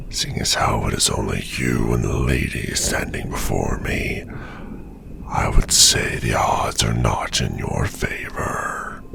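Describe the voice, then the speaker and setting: A man whispering in a put-on character voice at a fairly slow pace over loud background noise. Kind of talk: ASMR roleplay.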